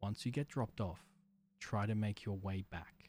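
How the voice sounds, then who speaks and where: Music plays behind a man with a fairly low pitch. He speaks at a fairly slow pace with fairly even intonation. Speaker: horror story narrator. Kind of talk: creepypasta horror narration, first-person, read aloud in a hushed, ominous tone. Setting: studio. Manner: slow, deliberate, suspenseful.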